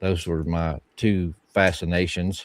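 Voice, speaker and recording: A man speaks in a very deep, low voice with a Southern US accent. The sound is dry and close with no echo, on a very clean recording with a silent background. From US South, Bible Belt. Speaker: podcast host and author. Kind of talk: casual interview chat.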